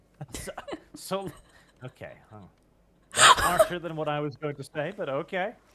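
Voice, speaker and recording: A high-pitched man at a moderate pace, with long, frequent pauses, big swings in loudness and noticeable background noise. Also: ordinary pitch variation. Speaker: guest on a stream. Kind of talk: casual chat.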